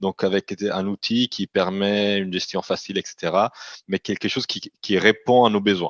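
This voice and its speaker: Recorded with a dry, close sound with no echo, a man with a fairly low pitch talks at a moderate pace in monotone, flat intonation. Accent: slight Italian. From Italian-speaking Switzerland. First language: Italian (speaking French). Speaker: company CEO. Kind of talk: interview. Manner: halting, frequent repetitions.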